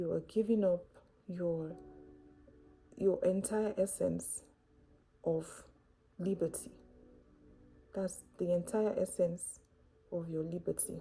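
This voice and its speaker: A woman's fairly low pitch and calm, gentle tone at a very slow pace, with fairly even intonation, long, frequent pauses and music in the background. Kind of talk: faith-based reflection talk to camera.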